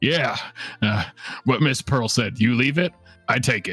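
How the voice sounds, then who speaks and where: Faint music plays behind a man doing a put-on character voice at a medium pitch and a moderate pace. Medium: actual play. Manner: boisterous, brash.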